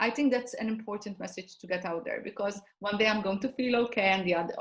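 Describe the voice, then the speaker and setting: A woman's fairly high, somewhat breathy voice with ordinary pitch variation and a Maltese accent. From Malta. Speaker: personal development coach. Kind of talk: interview. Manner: halting.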